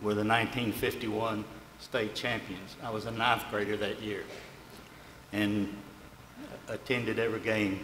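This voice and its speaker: A man with a Texan accent speaks at a medium pitch, leaving long, frequent pauses. Room echo is audible, and background noise is noticeable. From Arlington, Texas. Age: 70s. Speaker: retired coach and athletic director. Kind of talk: acceptance speech.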